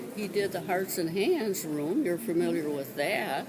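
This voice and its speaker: A woman at medium pitch with lively intonation and a fairly slow pace, amid noticeable background noise and audible room echo. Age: 90s. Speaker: longtime parishioner. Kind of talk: oral history interview. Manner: halting.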